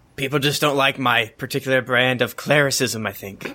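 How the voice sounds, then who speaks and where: A man puts on a gruff character voice at medium pitch, speaking at a fairly quick pace. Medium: actual play. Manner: gruff, plain-spoken.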